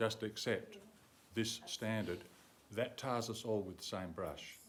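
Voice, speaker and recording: A man with an Australian accent speaks at a fairly slow pace with fairly even intonation. Audible room echo surrounds his voice. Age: 70s. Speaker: councillor. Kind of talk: council meeting debate speech. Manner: halting.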